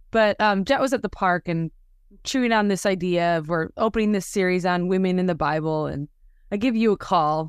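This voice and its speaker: A normal speaking voice with ordinary pitch variation. It moves at a fairly quick pace. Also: woman, medium pitch for a woman. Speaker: podcast host. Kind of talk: casual interview chat.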